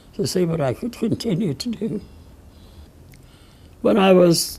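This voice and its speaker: With an American accent, a woman speaks in a somewhat breathy voice that sits fairly low. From Pennsylvania. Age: 80s+. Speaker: civil rights leader. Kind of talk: interview answer.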